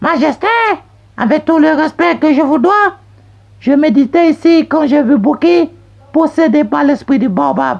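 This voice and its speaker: Someone uses a put-on character voice, high-pitched and calm in tone, at a moderate pace with long, frequent pauses. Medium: read story. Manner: calm, sly.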